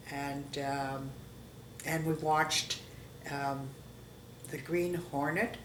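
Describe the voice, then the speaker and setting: Over noticeable background noise and audible room echo, a woman with a Canadian accent speaks at a very slow pace with a very deep, low pitch, fairly even intonation, and long, frequent pauses. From Canada, Toronto. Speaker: interviewee sharing life history. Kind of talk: oral history interview. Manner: halting.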